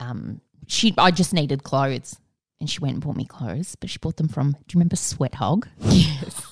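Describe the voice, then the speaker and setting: Lively intonation marks this woman's speech at a moderate pace, the sound dry and close with no echo. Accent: Australian. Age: 40s. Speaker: podcast co-host. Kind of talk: casual chat.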